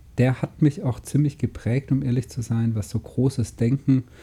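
A man is speaking here. His voice has a dark, mellow tone and is somewhat breathy. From southern Germany, Lake Constance. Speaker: podcast co-host, online business entrepreneur. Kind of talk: casual chat.

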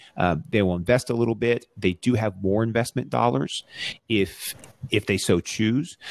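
A man with an American accent and a plain, everyday voice, fairly low in pitch, with ordinary pitch variation at a moderate pace, dry and close with no echo. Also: very even loudness. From Texas, Arlington. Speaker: startup lawyer. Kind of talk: casual interview. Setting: remote recording from home.

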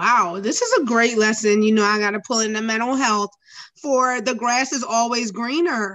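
Here is a woman with an unremarkable speaking voice and a fairly high pitch. She moves at a moderate pace with ordinary pitch variation. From New Jersey. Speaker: podcast co-host. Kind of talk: casual chat.

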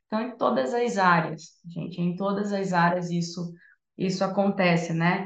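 Somewhat breathy and fairly slow, a woman's voice sits at medium pitch with fairly even intonation. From northern Brazil, Santarém, Pará. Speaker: music therapist and entrepreneur. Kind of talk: casual chat.

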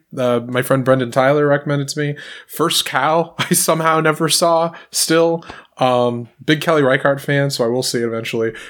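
With a normal speaking voice, a man of fairly high pitch talks at a moderate pace and fairly even intonation. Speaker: podcast host. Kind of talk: casual chat about movies.

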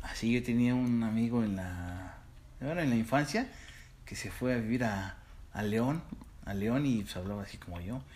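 Audible room echo carries a man's medium-pitched voice at a moderate pace. His loudness swings widely, and he leaves long, frequent pauses. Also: ordinary pitch variation. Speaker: podcast co-host. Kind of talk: casual chat.

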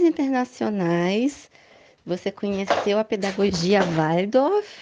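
Speaking very slowly, a woman uses a medium pitch, a dark, mellow tone and lively intonation. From Brazil. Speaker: podcast host. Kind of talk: casual interview chat.

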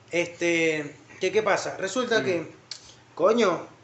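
With a Venezuelan accent, a man speaks in an animated tone, his pitch swinging very widely. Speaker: podcast host. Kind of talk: casual chat.

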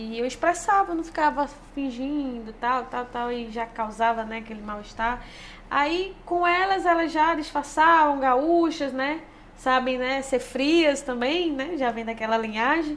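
In a room with audible echo, a woman talks at a fairly slow pace in a high voice with ordinary pitch variation. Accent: strong northeastern Brazilian. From Petrolina, Pernambuco, Brazilian Northeast. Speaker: former futsal player, world champion. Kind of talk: casual interview.

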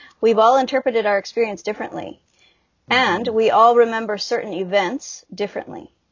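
A woman with a normal speaking voice talks at a fairly quick pace, her fairly high pitch showing ordinary variation. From Alberta, Canada (Calgary). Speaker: hypnotherapist and ex-homeschool survivor advocate. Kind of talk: interview testimony.

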